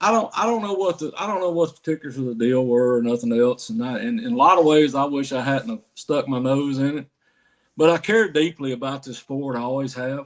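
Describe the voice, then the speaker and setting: An unremarkable speaking voice from a man, fairly high in pitch, at a fairly quick pace with lively intonation and big swings in loudness, over a quiet background. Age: 60s. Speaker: professional bass angler. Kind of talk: casual interview chat.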